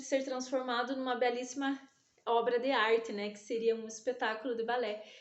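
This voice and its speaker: A woman with a high pitch talks at a moderate pace with ordinary pitch variation. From southern Brazil, interior of Paraná. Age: 30s. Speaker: dance teacher. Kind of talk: self-presentation testimony. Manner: hesitant, with fillers and restarts.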